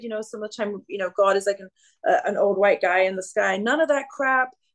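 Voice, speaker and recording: A woman speaks in an English accent with ordinary pitch variation. The background is quiet. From England. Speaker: singer-songwriter. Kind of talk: casual chat. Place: home room. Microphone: video call.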